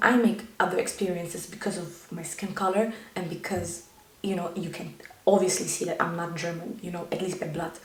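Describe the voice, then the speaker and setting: Speech comes at a moderate pace amid noticeable background noise and audible room echo. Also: woman. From Germany. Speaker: YouTuber. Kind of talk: personal vlog monologue.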